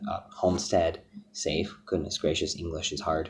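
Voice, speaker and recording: A somewhat breathy man with an American accent speaks at a moderate pace with fairly even intonation. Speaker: product reviewer. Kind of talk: product review. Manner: hesitant with many fillers.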